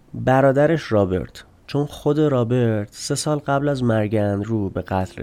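Fairly slow and medium in pitch, a man speaks with a dark, mellow tone and ordinary pitch variation. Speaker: true crime podcast host. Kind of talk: scripted narration.

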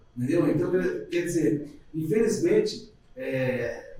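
This man's voice is heard with audible room echo and noticeable background noise. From Jundiaí, São Paulo state, Brazil. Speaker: bus driver. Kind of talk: casual podcast conversation.

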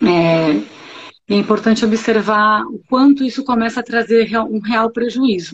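A woman's fairly high, somewhat breathy voice has ordinary pitch variation. She speaks at a fairly slow pace. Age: 40s. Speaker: pediatrician. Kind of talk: casual chat.

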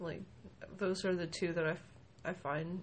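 Fairly low-pitched and somewhat breathy, a woman's voice. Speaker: guest with bipolar disorder, makeup artist. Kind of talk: casual interview. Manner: hesitant, halting with many fillers.

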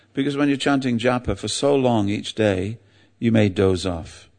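In an English accent, a man talks over a quiet background. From England. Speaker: religious teacher. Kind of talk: sermon.

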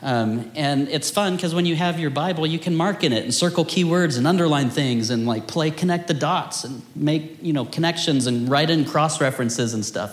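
A man with a fairly high pitch and lively intonation speaks at a moderate pace against noticeable background noise. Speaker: teacher leading a house of prayer. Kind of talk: teaching/Bible study with prayer. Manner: earnest, fervent prayer; casual, self-deprecating humor.

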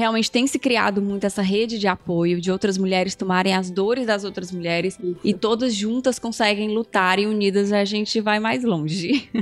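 An ordinary speaking voice with fairly even intonation, a moderate pace and hardly any pauses. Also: woman, medium pitch for a woman. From Ceará, Brazil. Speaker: podcast host. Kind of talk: casual interview. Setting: remote recording.

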